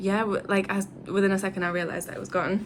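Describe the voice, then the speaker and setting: Speaking at a very fast pace, a woman with an English accent keeps a medium pitch. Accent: English accent, noticeable to Brazilians. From England. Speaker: travel vlogger. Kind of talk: casual chat. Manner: casual, filler-heavy.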